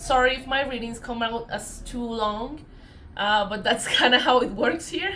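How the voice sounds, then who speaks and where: Over noticeable background noise and audible room echo, a woman uses a raised, projected voice at a high pitch and a moderate pace. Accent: Colombian. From Colombia. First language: Spanish. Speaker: tarot reader. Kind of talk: casual spiritual vlog talk. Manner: hesitant, many fillers.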